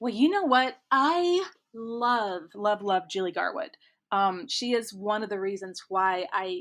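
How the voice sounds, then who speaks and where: A woman with a slight Midwestern accent, fairly high in pitch, lively in intonation and fairly slow, on a very clean recording with a silent background. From US Midwest, rural Kansas. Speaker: romance author. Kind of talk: casual interview chat. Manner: chatty, many fillers.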